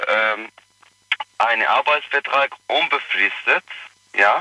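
A man is speaking. His pace is very slow. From Iraq. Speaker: caller. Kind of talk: phone-in call. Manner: halting.

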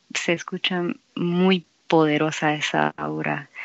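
A woman's voice with fairly even intonation. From Mexico-US border region. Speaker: guest co-host interviewer. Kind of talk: interview.

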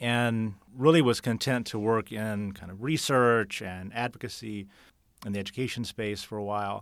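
A man with an American accent talks at a moderate pace in a plain, everyday voice of medium pitch, with fairly even intonation. His loudness swings widely, and the recording is very clean with a silent background. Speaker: political candidate. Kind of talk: podcast interview.

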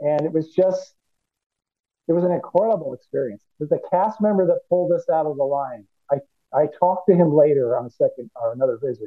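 A man's normal speaking voice, fairly high in pitch, with ordinary pitch variation and a fairly quick pace. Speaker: cosplayer. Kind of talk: casual interview.

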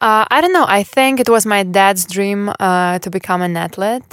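In a Russian accent, a woman speaks at a fairly slow pace. The sound is dry and close with no echo, on a very clean recording with a silent background. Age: 20s. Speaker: former tennis player. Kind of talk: casual interview.

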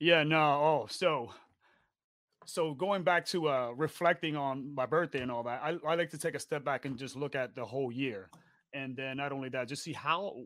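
A man with an American accent talks at a moderate pace in a fairly high pitch with ordinary pitch variation. It is an ordinary speaking voice on a very clean recording with a silent background. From New York, the Bronx. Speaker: podcast co-host, navy veteran. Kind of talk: casual chat. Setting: live stream.

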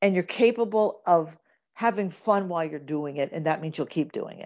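A woman with an American accent talks at a moderate pace in a plain, everyday voice, with lively intonation. The recording is very clean, with a silent background. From US Midwest, Kansas. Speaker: actress and comedian. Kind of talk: interview.

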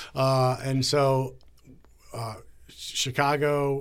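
A man with an American accent at a medium pitch, on a very clean recording with a silent background. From Northern Virginia, near Washington DC. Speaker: TV news anchor. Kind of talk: interview. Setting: studio.

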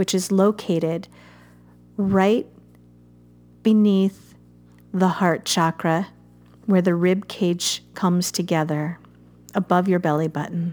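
Very slow, monotone delivery with flat intonation and long, frequent pauses, on a very clean recording against a silent background. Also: woman. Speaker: meditation guide. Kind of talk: guided meditation, hushed, soothing instructions with long pauses. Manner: slow, soft-spoken, gentle, calm and warm.

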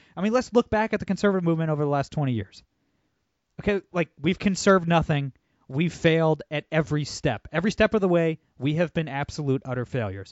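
Here a man talks at a very fast pace in an animated tone. His pitch sits fairly high. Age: 30s. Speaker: podcast host. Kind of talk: casual political interview.

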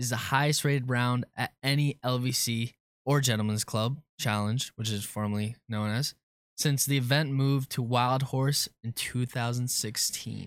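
At a moderate pace, a man talks in an ordinary speaking voice with medium pitch and fairly even intonation, recorded dry and close with no echo, very clean, with a silent background. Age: 20s. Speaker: intern producer. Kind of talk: quiz hosting.

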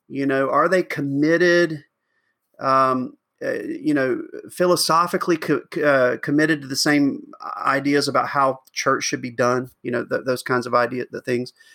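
The recording is very clean and the background silent. In it, a man talks with a Southern US accent. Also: moderate pace. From US South, rural Georgia. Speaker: pastor. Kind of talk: interview. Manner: halting, many fillers and restarts.

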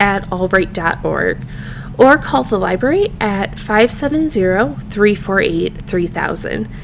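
The voice makes very wide pitch swings. Noticeable background noise runs underneath. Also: woman. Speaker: podcast host and reference librarian. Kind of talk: casual interview.

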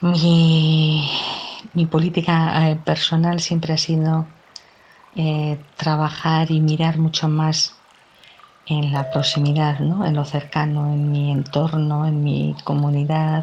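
Very slow speech in a Basque accent comes out monotone and flat, with very even loudness. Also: woman, very deep, low pitch for a woman. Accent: Basque Spanish (Peninsular). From Basque Country, Spain (Bilbao). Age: 50s. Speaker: psychologist, feminist. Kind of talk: personal testimony.

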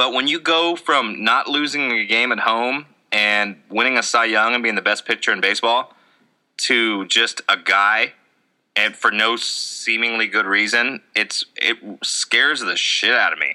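Bright and sharp in tone, a man talks at a fairly slow pace with very even loudness. His pitch variation is ordinary. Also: medium pitch for a man. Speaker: podcast host. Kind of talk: casual banter. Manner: joking, self-deprecating.

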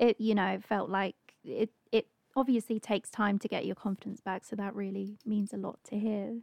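Medium in pitch, a woman speaks with fairly even intonation in a plain, everyday voice. The sound is dry and close, with no echo. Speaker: stage actress. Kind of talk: casual interview chat.

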